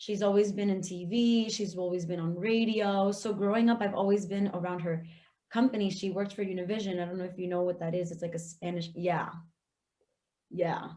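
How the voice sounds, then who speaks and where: In a Florida accent, a woman speaks at a fairly quick pace with fairly even intonation. Her medium-pitched voice has a dark, mellow tone, with audible room echo. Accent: Florida (Hialeah). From South Florida (Hialeah, Miami area). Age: 20s. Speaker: aspiring podcaster. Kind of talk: casual interview chat.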